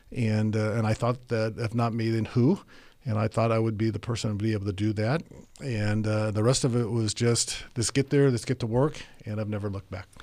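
A man is speaking. His pace is fairly quick. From Tokyo, Japan and Monterey, California. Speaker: police chief. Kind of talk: interview conversation.

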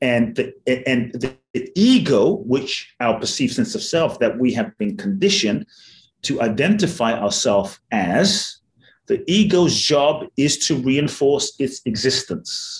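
A somewhat breathy voice with very wide pitch swings. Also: man, fairly high pitch for a man, fairly slow pace. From London. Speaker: mindfulness teacher and author. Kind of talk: interview.

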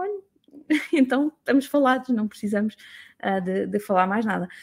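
A woman's somewhat breathy, fairly high-pitched voice in a European Portuguese accent, on a very clean recording with a silent background. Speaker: business mentor. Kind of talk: solo talk to audience. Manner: halting, many fillers.

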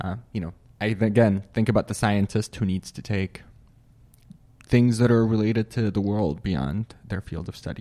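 At a moderate pace, a man with a fairly low pitch, ordinary pitch variation and a dark, mellow tone speaks on a very clean recording with a silent background and a dry, close sound with no echo. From Syria. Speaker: graduate student. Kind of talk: casual interview. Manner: halting.

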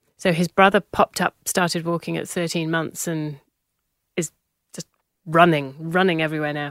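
A woman with a slight British accent speaks at a fairly low pitch and moderate pace in monotone, flat intonation, with big swings in loudness, long, frequent pauses and a dry, close sound with no echo. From UK. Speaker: parent of child with Down syndrome. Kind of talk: interview conversation.

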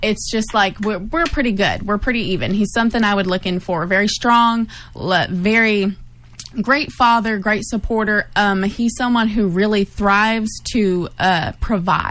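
In an unremarkable speaking voice, a woman talks at a medium pitch and a moderate pace, with very even loudness and ordinary pitch variation. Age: 20s. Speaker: board operator. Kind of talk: casual discussion. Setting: studio.

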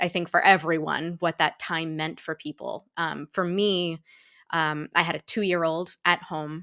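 A woman with an ordinary speaking voice talks at a fairly slow pace and a fairly low pitch. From Massachusetts, US (Shrewsbury). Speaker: equity, diversity and inclusion consultant. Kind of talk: casual interview. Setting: video call from home.

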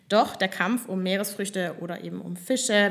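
A woman with an unremarkable speaking voice talks at a moderate pace and medium pitch, with fairly even intonation. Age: 20s. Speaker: student podcast host. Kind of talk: casual chat. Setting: studio.

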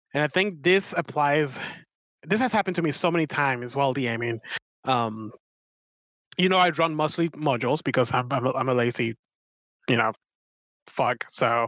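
With a non-native accent, a man speaks at a fairly high pitch and moderate pace, leaving long, frequent pauses. His pitch varies ordinarily, and the sound is dry and close with no echo against a quiet background. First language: not English. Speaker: podcast co-host, dungeon master. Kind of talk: casual chat.

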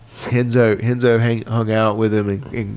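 A man with an American accent speaks at a moderate pace and fairly low pitch in an ordinary speaking voice. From Virginia. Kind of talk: casual chat.

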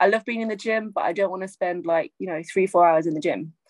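A woman with an unremarkable speaking voice talks at a fairly quick pace and medium pitch, her pitch varying in an ordinary way, in a dry, close sound with no echo. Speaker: martial arts instructor and actor. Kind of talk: casual chat.

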